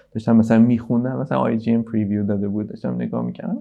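Here a man speaks with a dark, mellow tone and lively intonation. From Iran. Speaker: video game development director. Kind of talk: casual interview.

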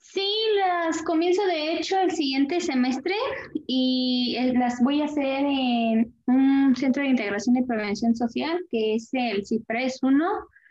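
At a very slow pace, a woman with a high pitch speaks with lively intonation. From Querétaro, Mexico. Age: 20s. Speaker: interviewee. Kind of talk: interview.

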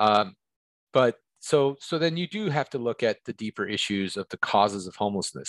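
A man with a plain, everyday voice speaks at a moderate pace with medium pitch and ordinary pitch variation over a quiet background. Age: 50s. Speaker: recovery and homelessness advocate. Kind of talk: interview.

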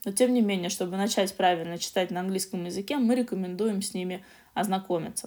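This woman has an unremarkable speaking voice and a medium pitch. She talks at a moderate pace with ordinary pitch variation. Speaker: podcast co-host, English learning. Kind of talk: casual educational chat.

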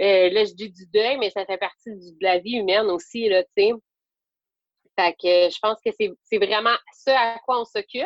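Pausing long and often, a woman with a Quebec accent speaks at a fairly slow pace in a fairly high voice, with fairly even intonation and big swings in loudness. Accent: Québécois French. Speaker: yoga teacher. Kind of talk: interview. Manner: hesitant, many fillers.

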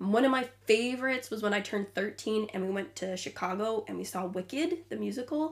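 With a Midwestern accent, a woman speaks at a fairly high pitch and a fairly quick pace with lively intonation and hardly any pauses over noticeable background noise. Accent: American Midwestern. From US Midwest, Illinois. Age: 20s. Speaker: podcast co-host. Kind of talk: casual chat.

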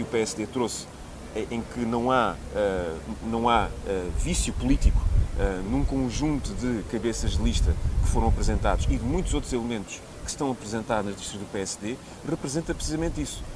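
Noticeable background noise sits behind the voice. The intonation is lively and the pace moderate. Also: man. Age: 30s. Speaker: politician, parliamentary candidate. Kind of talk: political interview.

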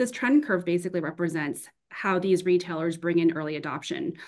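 With a plain, everyday voice, a woman speaks at medium pitch and a fairly quick pace. Her intonation is lively over a quiet background. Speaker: consumer goods growth consultant. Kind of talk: panel discussion.

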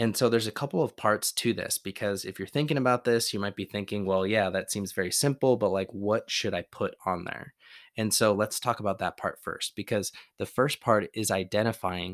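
A normal speaking voice with ordinary pitch variation at a moderate pace, dry and close with no echo, on a very clean recording with a silent background. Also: man. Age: 30s. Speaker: podcast host and endurance coach. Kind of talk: solo motivational podcast talk.

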